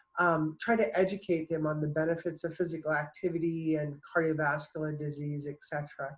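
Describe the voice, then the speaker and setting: Someone with an American accent talks at a fairly quick pace with hardly any pauses. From New Jersey, US Northeast. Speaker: public health professor. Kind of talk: conference presentation. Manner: halting, many fillers.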